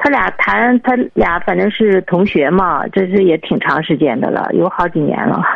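A woman with a fairly low pitch speaks with very wide pitch swings, very even loudness and hardly any pauses, over noticeable background noise. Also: moderate pace. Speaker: caller, parent asking for advice. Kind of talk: phone-in advice call. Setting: phone call. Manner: halting.

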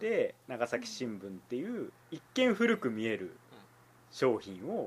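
His pitch rises and falls across a very wide range. The voice belongs to a man. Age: 30s. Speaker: newspaper reporter and podcast host. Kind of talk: casual chat.

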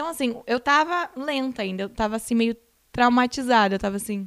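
A woman speaks in a normal speaking voice, pitched fairly high. Her intonation is lively and her pace fairly quick. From southern Brazil (Rio Grande do Sul). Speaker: reality show contestant. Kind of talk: casual interview chat.

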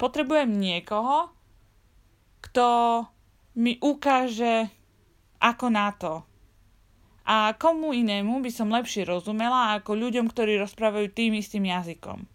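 A woman's fairly high voice, fairly slow with long, frequent pauses and ordinary pitch variation, on a very clean recording with a silent background. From Slovakia. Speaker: travel podcaster. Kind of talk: personal storytelling monologue.

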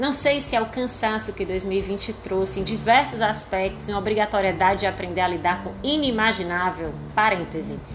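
A woman's medium-pitched voice at a moderate pace, with ordinary pitch variation, hardly any pauses, noticeable background noise and audible room echo. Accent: Cearense. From Ceará, Brazil. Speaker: podcast host, chronicle writer. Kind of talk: reading aloud her own chronicle.

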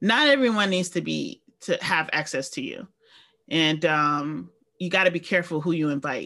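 Her tone bright and sharp, a woman with a New York accent speaks at a moderate pace with very wide pitch swings. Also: fairly low pitch for a woman. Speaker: podcast co-host. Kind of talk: casual chat.

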